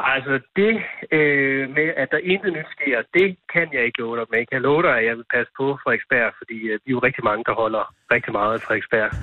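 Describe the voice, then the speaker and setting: With lively intonation, a man of medium pitch talks at a fairly quick pace. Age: 30s. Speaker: local politician. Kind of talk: phone interview. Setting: phone call. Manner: halting.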